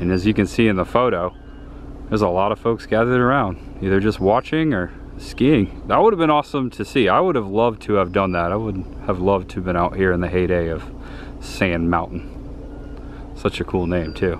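This man speaks at a moderate pace in a low pitch, with ordinary pitch variation.

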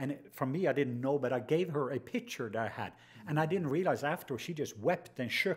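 The voice is somewhat breathy, with lively intonation. It moves at a fairly quick pace. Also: man, quiet background. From Norway. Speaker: podcast host, minister. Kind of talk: casual interview chat. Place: studio. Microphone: studio mic.

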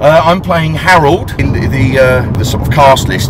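Loud background noise accompanies a man talking at a fairly slow pace. His voice sounds dry with no echo. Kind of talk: casual vlog chat. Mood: wry, self-mocking humour.

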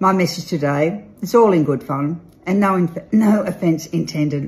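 A woman with an Australian accent speaks somewhat breathily in a fairly low pitch with ordinary pitch variation. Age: old. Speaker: real estate agent and auctioneer. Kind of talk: casual talk to camera, promotional message. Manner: playful, upbeat. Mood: playful, tongue-in-cheek. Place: home room. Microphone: phone near.

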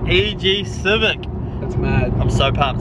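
Loud background noise surrounds the recording. A man talks in a dry sound with no echo. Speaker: car build vlogger. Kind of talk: casual vlog chat. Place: car. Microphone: phone near.

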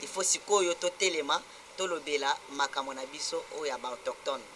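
A high-pitched man speaks at a very slow pace with ordinary pitch variation over light background noise. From DR Congo. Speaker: interviewee, community spokesman. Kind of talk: TV talk show interview. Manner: halting. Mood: earnest, animated complaint.

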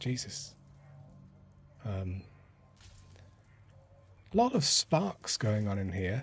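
At a very slow pace, a man with a medium pitch speaks in a somewhat breathy voice. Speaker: let's play gamer. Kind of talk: casual gameplay commentary.

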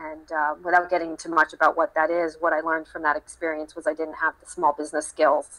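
Her bright, sharp tone sits at a fairly low pitch for a woman, delivered with flat, monotone intonation. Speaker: social enterprise founder. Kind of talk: online panel discussion. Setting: online group call. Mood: reflective, candid. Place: office. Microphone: video call.

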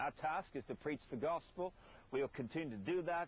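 A man at a fairly quick pace, dry sound with no echo. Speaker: television ministry host. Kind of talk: televangelist appeal to camera. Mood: earnest, persuasive. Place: garden. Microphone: lapel.

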